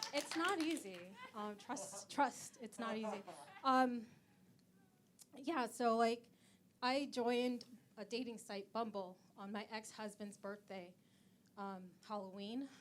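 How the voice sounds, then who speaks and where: A woman speaks at a fairly high pitch and fairly slow pace, with ordinary pitch variation and long, frequent pauses. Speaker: stand-up comedian. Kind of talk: stand-up. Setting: stage with virtual audience. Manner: halting, many fillers.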